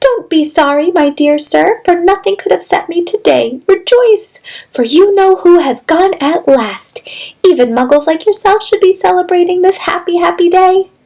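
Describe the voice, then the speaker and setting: A woman uses a squeaky, put-on character voice at an extremely high pitch with lively intonation. Her loudness stays very even at a moderate pace. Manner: gleeful, delighted.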